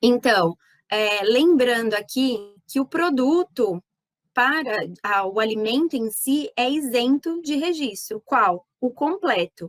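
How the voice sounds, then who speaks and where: With lively intonation and a high pitch, a woman talks at a very slow pace in a dry, close sound with no echo. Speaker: animal scientist, pet nutrition consultant. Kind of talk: lecture. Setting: online talk. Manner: animated.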